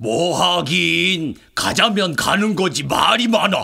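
A cartoonish character voice from a man, high-pitched and very slow. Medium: puppet.

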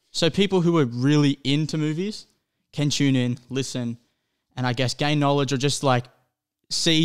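Against a quiet background, a man with an Australian accent speaks at a fairly high pitch. His pace is moderate and his pitch variation ordinary. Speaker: movie podcast co-host. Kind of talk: casual chat. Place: home room. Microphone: studio mic.

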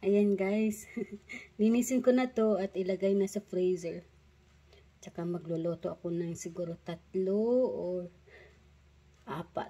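Leaving long, frequent pauses, a woman speaks at a fairly slow pace with fairly even intonation. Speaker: vlogger. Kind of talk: casual vlog chat. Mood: cheerful, laughing. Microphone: phone near.

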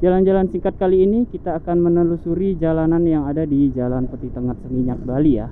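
Words pour out at a very fast pace with hardly any pauses. The sound is dry with no echo, over light background noise. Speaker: travel vlogger. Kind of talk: casual vlog chat. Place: street. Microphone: phone near.

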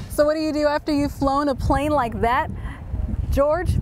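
A woman's high-pitched voice at a moderate pace, dry with no echo, over noticeable background noise. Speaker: TV news reporter. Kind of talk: TV news report narration. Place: open country. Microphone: lapel.

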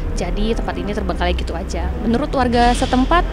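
A woman talks at a very fast pace. The sound is dry with no echo, and music plays in the background. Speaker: TV presenter. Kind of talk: on-location presenter report. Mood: spooky storytelling. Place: open country. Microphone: handheld.

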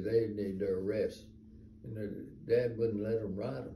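A man talks with audible room echo. Light background noise sits underneath. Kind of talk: casual storytelling to family. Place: home room. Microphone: phone near.

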